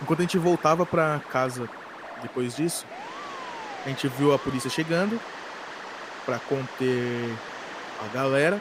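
Long, frequent pauses break up a man's speech at a fairly high pitch with ordinary pitch variation. Noticeable background noise sits behind him. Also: moderate pace. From São Paulo, Brazil. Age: 20s. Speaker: podcast host. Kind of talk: casual storytelling monologue.

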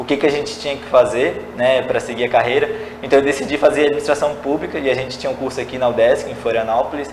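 A man with a fairly high voice speaks at a very fast pace. Audible room echo and noticeable background noise surround him. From Brazil, São José, Santa Catarina. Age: 20s. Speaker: public administration graduate. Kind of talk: interview.

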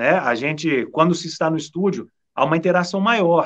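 An ordinary speaking voice from a man with a fairly high pitch, at a moderate pace over a quiet background. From Brazil, southern Minas Gerais (São Lourenço). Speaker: TV sports presenter. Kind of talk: casual chat.

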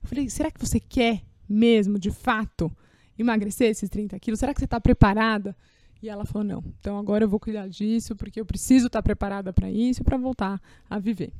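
A woman with a dark, mellow tone and fairly high pitch talks fairly quickly with fairly even intonation and big swings in loudness, on a very clean, dry, close recording with a silent background and no echo. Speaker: podcast host, maternity health professional. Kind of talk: casual interview chat.

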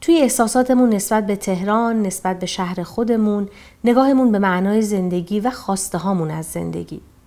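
Here is a woman with a medium pitch and a dark, mellow tone. She speaks at a fairly quick pace. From small Iranian town. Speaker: podcast host. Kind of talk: scripted narration.

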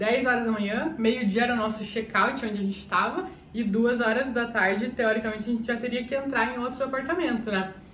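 With audible room echo and noticeable background noise, the speech carries ordinary pitch variation. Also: woman. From Brazil, Curitiba. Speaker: travel vlogger. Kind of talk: casual storytelling vlog.

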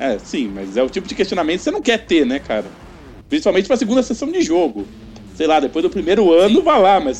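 Noticeable background noise is present throughout. Over it, a man rattles off his words at a very fast pace. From São Paulo, Brazil. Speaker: tabletop RPG game master. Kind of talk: casual chat.

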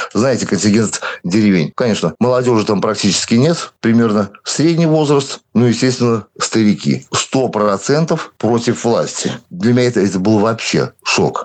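A man's normal speaking voice at a medium pitch, lively in intonation and very even in loudness, over a quiet background. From Belarus (moved from Siberia at 7). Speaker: local protest activist. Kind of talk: interview.

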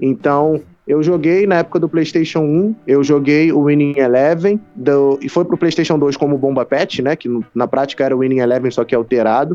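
A fairly high-pitched male voice with a dark, mellow tone, at a moderate pace with ordinary pitch variation. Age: 20s. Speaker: gamer livestreamer and computer science student. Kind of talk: casual interview chat.

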